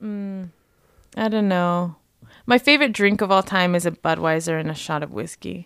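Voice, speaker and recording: A woman's normal speaking voice, fairly low in pitch, with an American accent, lively intonation and a moderate pace, in a very clean recording with a silent background. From Las Vegas, Nevada. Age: 30s. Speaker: cannabis marketer. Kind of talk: casual chat.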